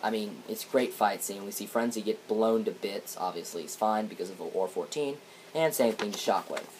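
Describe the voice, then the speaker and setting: Noticeable background noise sits behind a man whose pitch is fairly low. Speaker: comic reviewer. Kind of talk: casual review commentary. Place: home room. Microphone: webcam.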